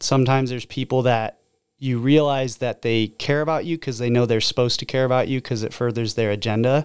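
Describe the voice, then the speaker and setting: With an American accent, a man in an unremarkable speaking voice holds a medium pitch and fairly even intonation. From Oregon (Albany). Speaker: door-to-door sales manager. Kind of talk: casual chat.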